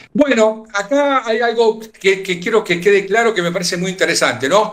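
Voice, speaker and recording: Against noticeable background noise, a man with a Rioplatense accent speaks at a high pitch with ordinary pitch variation. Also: moderate pace. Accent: Argentine Rioplatense Spanish. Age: 60s. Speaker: war veteran. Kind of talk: interview. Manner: halting.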